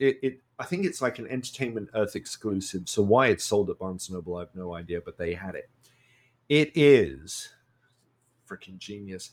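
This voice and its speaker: In a very clean recording with a silent background, a man with an English accent talks at a fairly slow pace. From UK. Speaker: comic podcast co-host. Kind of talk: casual chat. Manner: halting.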